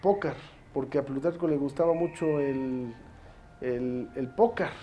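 A man speaks at a fairly slow pace in a fairly high pitch. His tone is dark and mellow, with fairly even intonation. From Mexico, Puebla state. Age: 30s. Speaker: mayor. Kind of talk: interview. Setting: his office.

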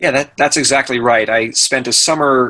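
Here a man with an American accent uses a normal speaking voice at medium pitch. His pace is moderate, with ordinary pitch variation. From Maine, US. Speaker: real estate investor and broker. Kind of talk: interview.

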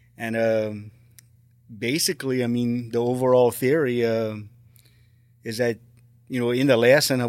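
On a very clean recording with a silent background, a man of medium pitch with an American accent talks at a moderate pace. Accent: south Louisiana Cajun-tinged English. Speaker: retired teacher and paranormal investigator. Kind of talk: casual interview.

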